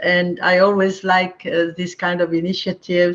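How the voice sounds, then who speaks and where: A woman talks with a French accent. Her pitch is medium and her pace fairly slow. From France, Marseille. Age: 80s+. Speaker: spiritual teacher. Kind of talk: online talk. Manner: halting with fillers.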